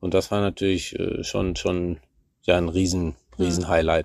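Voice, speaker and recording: A moderately paced man's voice on a very clean recording against a silent background. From Germany, Münsterland (Warendorf). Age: 40s. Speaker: eventing rider and national youth coach. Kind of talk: casual interview. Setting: at the family farm.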